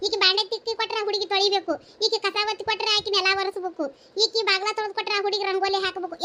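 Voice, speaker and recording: A woman performs a cartoonish character voice at an extremely high pitch. She talks fairly quickly. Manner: scolding, loud, exasperated.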